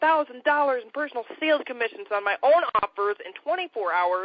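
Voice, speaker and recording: A woman with an American accent speaks at a fairly quick pace in a high pitch. Her tone is energetic, with very wide pitch swings. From Michigan, US Midwest. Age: 20s. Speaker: entrepreneur. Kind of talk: sales pitch. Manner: fast.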